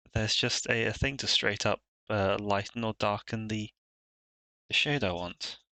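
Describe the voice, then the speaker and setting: Soft-spoken, a man with a British accent has a bright, sharp tone, recorded with a dry, close sound with no echo and a quiet background. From Britain. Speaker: streamer and digital artist. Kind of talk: live stream commentary while drawing. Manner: soft-spoken, quiet; hesitant, many fillers.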